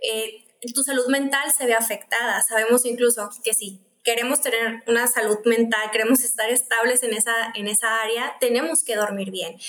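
A woman's ordinary speaking voice at a fairly high pitch, with fairly even intonation, a moderate pace and big swings in loudness. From Mexico, Mexicali (Baja California). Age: 20s. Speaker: physician studying clinical nutrition. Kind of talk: casual interview chat.

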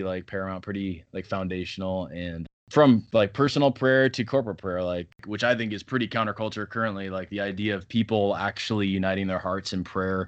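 A normal speaking voice at a fairly quick pace, ordinary pitch variation, quiet background. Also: man. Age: 30s. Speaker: pastor. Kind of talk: casual chat.

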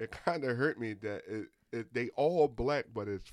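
A man's ordinary speaking voice with ordinary pitch variation at a moderate pace, in a dry, close sound with no echo. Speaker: podcast co-host. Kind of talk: casual chat.

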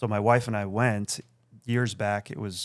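A plain, everyday voice from a man, medium in pitch, with fairly even intonation at a moderate pace on a very clean recording with a silent background. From Akron, Ohio. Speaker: ENT surgeon. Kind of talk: casual interview. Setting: studio.

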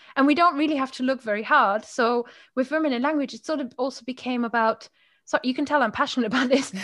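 With a German accent, a woman talks at a very fast pace and a high pitch, her intonation fairly even against a quiet background. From Germany, Moselle winemaking region. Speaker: podcaster and language coach. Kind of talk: casual chat.

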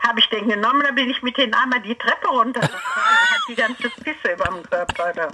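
A woman speaks at a very fast pace with hardly any pauses against noticeable background noise. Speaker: relative of host. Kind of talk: casual chat.

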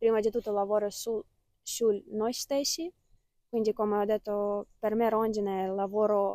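Her delivery is monotone and flat at a moderate pace, with a dark, mellow tone and medium pitch. The woman's recording sounds dry and close, with no echo. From Ukraine, Kyiv. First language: Ukrainian or Russian (speaking Italian). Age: 20s. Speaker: student. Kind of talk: interview testimony. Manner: halting.

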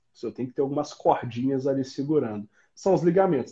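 This man's voice is dark and mellow with some breathiness. He talks fairly quickly. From southern Minas Gerais, Brazil (Itajubá). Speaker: orthopedic doctor. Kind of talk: interview.

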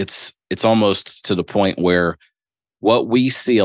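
Against a quiet background, a man with a US Midwestern accent speaks in a fairly even intonation, the sound dry and close with no echo. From Ohio, US Midwest. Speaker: business owner. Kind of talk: casual interview.

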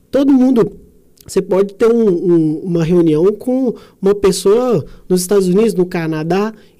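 A man talks in a high pitch with a dark, mellow tone. His loudness stays very even. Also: ordinary pitch variation, moderate pace. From Brazil, Minas Gerais (Sete Lagoas). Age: 30s. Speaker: entrepreneur and innovation mentor. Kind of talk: casual chat.

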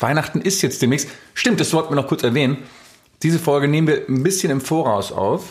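A man's somewhat breathy voice at a fairly quick pace, very even in loudness and with ordinary pitch variation. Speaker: podcast co-host. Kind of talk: casual chat. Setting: home recording.

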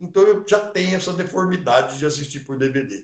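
A man's lively intonation. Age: 60s. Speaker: cinema club president. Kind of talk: interview.

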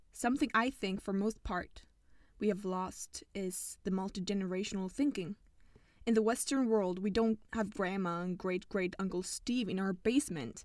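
A woman talks at a moderate pace in a mid-range pitch that varies in an ordinary way. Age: 20s. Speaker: podcast host. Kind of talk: reading aloud. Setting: sitting in a small closet.

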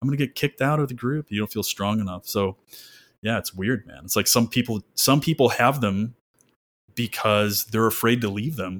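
In a normal speaking voice, a man with an American accent talks at medium pitch with ordinary pitch variation, on a very clean recording with a silent background. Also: dry, close sound with no echo. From Michigan. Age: 30s. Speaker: psychotherapist. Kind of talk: casual chat.

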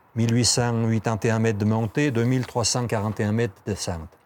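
On a very clean recording with a silent background, a man speaks in a fairly low voice. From Switzerland, Valais (Val de Bagnes). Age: 60s. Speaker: tourism office employee and ski mountaineer. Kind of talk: interview. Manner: halting, many repetitions and hesitations.

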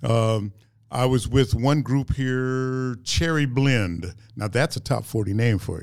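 A man at a very slow pace, medium in pitch, with ordinary pitch variation. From Dallas, Texas. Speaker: musician. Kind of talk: interview. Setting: studio.

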